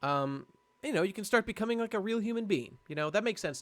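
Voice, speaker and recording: Talking at a very fast pace, a man swings very widely in pitch. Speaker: live streamer. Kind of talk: casual chat. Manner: halting; animated.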